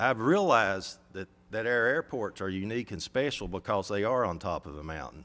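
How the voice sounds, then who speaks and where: On a very clean recording with a silent background, a man with an Appalachian accent talks at a moderate pace with lively intonation. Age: 60s. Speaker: airport operator. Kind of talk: public comment at a county meeting. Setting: county government meeting.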